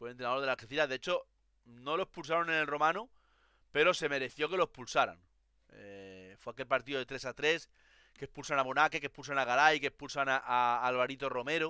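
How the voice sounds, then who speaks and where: The voice has a bright, sharp tone, a fairly quick pace, ordinary pitch variation and big swings in loudness, recorded very cleanly with a silent background and a dry, close sound with no echo. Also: man, fairly high pitch for a man. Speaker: football podcaster. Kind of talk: casual chat.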